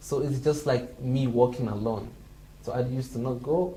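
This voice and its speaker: In a Somali accent, a man talks at a moderate pace and medium pitch with fairly even intonation, with audible room echo. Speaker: international student. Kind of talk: interview. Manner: halting.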